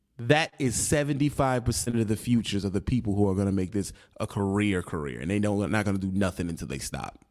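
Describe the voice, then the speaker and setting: At a fairly quick pace with hardly any pauses, a man talks in a fairly low pitch. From United States. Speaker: trucking vlogger. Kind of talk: angry rant. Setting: solo video channel. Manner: aggressive, loud, confrontational, scolding the audience; emphatic, punchy, street slang, repeats for emphasis.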